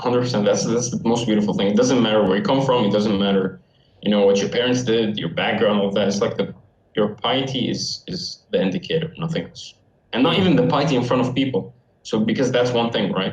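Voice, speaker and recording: Speaking at a very fast pace, a man uses lively intonation. His pitch is medium. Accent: Arabic. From Syria. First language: Arabic. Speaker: university student. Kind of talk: casual chat.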